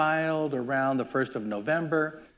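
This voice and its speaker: A man is speaking. The background is quiet. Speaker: regulatory affairs consultant. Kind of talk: workshop presentation. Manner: fast.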